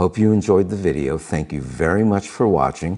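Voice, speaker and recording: Using a very deep, low pitch and a dark, mellow tone with vocal fry, a man talks at a moderate pace with ordinary pitch variation. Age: 70s. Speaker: health vlogger. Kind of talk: casual monologue to camera.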